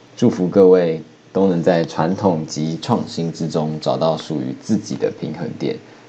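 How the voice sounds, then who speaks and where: Over noticeable background noise, a man with a Taiwanese accent talks at a fairly slow pace. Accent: Taiwanese Mandarin. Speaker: podcaster. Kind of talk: solo talk monologue. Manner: playful.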